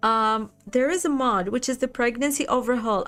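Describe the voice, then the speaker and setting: With music in the background, a woman speaks in a high pitch with a non-native accent. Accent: non-native English, unique pronunciation. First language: not English. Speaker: gaming streamer. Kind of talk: live gameplay stream chat. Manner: casual, chatty.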